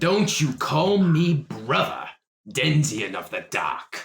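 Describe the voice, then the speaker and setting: In a put-on character voice, a man speaks at a fairly high pitch. His pace is very slow. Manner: mocking, sarcastic.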